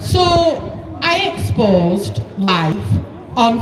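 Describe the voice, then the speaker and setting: The pace is very slow. Room echo and noticeable background noise can be heard. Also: woman. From northern England, Oldham. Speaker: protest speaker. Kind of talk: rally speech. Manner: loud, addressing crowd.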